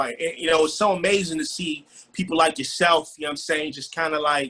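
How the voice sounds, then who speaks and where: A man with a fairly high voice at a very fast pace. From Nigeria. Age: 30s. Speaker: rapper and music publisher. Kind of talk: casual interview. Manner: animated, energetic.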